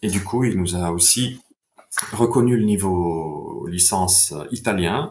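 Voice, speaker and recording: A man speaks in a very deep, low voice that is somewhat breathy, with ordinary pitch variation. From Italy, Bergamo. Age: 40s. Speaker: sports science researcher. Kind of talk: podcast interview. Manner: hesitant, with fillers.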